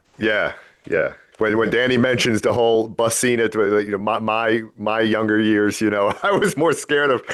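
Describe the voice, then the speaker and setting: A man speaks in an American accent at a moderate pace. His intonation is fairly even, his loudness very even, and the background quiet. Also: medium pitch for a man. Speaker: podcast co-host. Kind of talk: interview.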